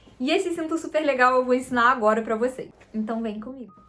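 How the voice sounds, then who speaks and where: Noticeable background noise sits behind a woman's high-pitched voice. She speaks in an animated tone. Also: long, frequent pauses. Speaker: fashion designer and seamstress, content creator. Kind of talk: sewing tutorial. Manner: fast.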